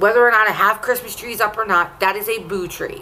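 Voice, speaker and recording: Amid noticeable background noise, a woman with a fairly high pitch talks at a fairly quick pace in an animated tone with ordinary pitch variation. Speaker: vlogger. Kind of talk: casual chat.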